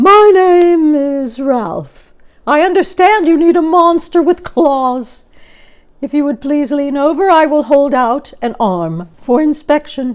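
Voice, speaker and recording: A woman uses a put-on character voice pitched high. She talks at a fairly slow pace. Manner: smooth, courteous.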